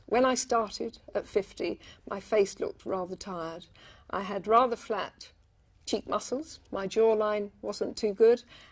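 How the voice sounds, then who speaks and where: Fairly slow, fairly high-pitched woman with an unremarkable speaking voice and ordinary pitch variation, on a very clean recording with a silent background. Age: 60s. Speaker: longtime client. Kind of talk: testimony.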